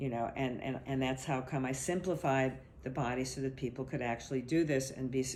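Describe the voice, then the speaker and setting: A woman talks at a fairly quick pace with a very deep, low pitch. Her intonation is fairly even, and room echo is audible. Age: 60s. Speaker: body therapist. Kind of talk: interview. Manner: halting.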